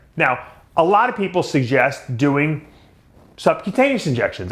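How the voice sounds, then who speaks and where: This is a man's voice. He has a Long Island accent. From Long Island, New York. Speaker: bodybuilding commentator. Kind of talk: casual rant to camera.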